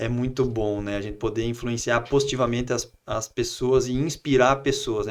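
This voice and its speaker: Fairly quick, medium-pitched speech from a man. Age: 30s. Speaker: entrepreneur and politician. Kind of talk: casual interview.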